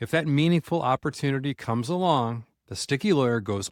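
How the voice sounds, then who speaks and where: Recorded very cleanly against a silent background with a dry, close sound and no echo, a man uses a plain, everyday voice with lively intonation at a moderate pace. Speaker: podcast host. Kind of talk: podcast intro narration.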